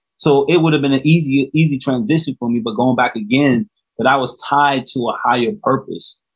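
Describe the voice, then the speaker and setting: With an American accent, a man talks at a fairly quick pace in an unremarkable speaking voice, his pitch varying in an ordinary way. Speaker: author and re-entry coach. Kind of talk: interview testimony.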